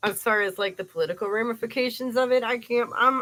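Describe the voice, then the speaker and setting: A woman speaks at a fairly high pitch with a Cleveland accent. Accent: Inland Northern US (Cleveland). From US Midwest, Cleveland, Ohio. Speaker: live streamer, commentator. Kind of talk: casual livestream chat. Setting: live stream.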